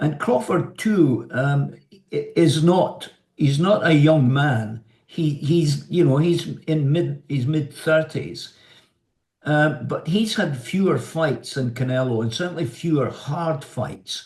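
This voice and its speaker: This man has a fairly high pitch and a somewhat breathy voice. He talks at a very slow pace with ordinary pitch variation. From Scotland. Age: 70s. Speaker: journalist, television presenter, former amateur boxer. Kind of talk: interview answer.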